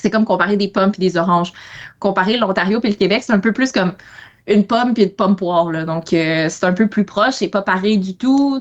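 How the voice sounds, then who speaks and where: Here a woman talks at a fairly quick pace. Her pitch is medium, with ordinary variation. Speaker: economics consultant. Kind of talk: podcast interview. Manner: hesitant, many fillers.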